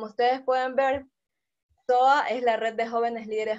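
A woman speaks in a plain, everyday voice at a moderate pace. Her pitch is fairly high. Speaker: webinar organizer and host. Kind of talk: casual chat, webinar intro. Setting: video call.

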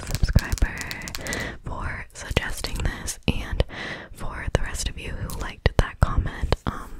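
Over loud background noise, a woman speaks at a very slow pace, the sound dry with no echo. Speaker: ASMR creator. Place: home room. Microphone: phone near.

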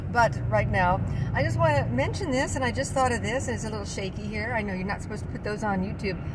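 Fairly quick speech from a woman with an American accent, amid loud background noise. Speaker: vlogger. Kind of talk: casual monologue. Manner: rambling, laughs often. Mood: opinionated, earnest. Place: car. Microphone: phone near.

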